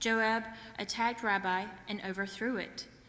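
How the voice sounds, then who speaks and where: A woman with a fairly high pitch speaks at a moderate pace. Her tone is bright and sharp, and there is audible room echo. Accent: Southern US. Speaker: scripture reader. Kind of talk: reading aloud. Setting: church.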